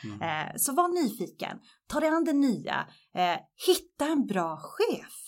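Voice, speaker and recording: On a very clean recording with a silent background, a woman talks at a very slow pace, her high pitch making very wide swings. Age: 40s. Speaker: media executive. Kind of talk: podcast interview.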